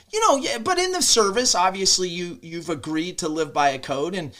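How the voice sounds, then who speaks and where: In a very clean recording with a silent background, a man talks at a moderate pace in a high voice with lively intonation. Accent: American. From Nebraska. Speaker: podcast host, former Navy SEAL commander. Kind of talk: podcast interview.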